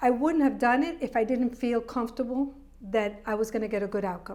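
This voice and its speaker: A woman's voice, fairly high in pitch, an ordinary speaking voice, with fairly even intonation at a moderate pace. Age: 60s. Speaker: journalist and show producer. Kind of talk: casual chat.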